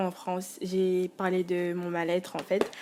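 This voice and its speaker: A woman's voice comes through here. It sits at a medium pitch. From Congo. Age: 20s. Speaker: student and musician, vlogger. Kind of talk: casual monologue vlog. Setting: alone at home. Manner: hesitant, many fillers.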